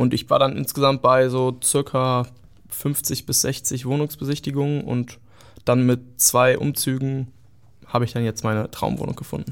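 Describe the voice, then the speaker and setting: A man speaks at a medium pitch in a monotone, flat delivery. His pace is moderate, and the recording is very clean with a silent background. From northern Germany (Göttingen, Lower Saxony). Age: 20s. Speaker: young Berlin resident sharing experiences. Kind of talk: casual chat.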